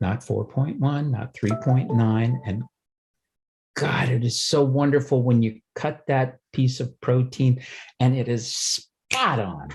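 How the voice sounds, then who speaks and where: Speaking very slowly, a man with a medium pitch sounds somewhat breathy and uses ordinary pitch variation. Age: 70s. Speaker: twelve-step program member. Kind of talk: recovery share. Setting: video call. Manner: halting, many fillers.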